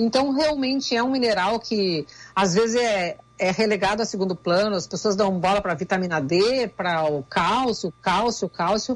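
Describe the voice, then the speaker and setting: A woman with a Rio Grande do Sul accent, medium in pitch, with ordinary pitch variation. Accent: Rio Grande do Sul border. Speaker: nutritionist. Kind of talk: radio interview.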